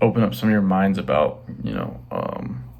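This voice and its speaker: A man speaks quietly at a moderate pace. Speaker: fitness vlogger. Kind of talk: casual vlog talk. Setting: bedroom. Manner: hesitant, many fillers.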